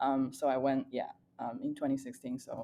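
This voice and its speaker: At a moderate pace, a woman talks with a Chinese accent. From China, near Nanjing. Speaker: data scientist. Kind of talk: podcast interview.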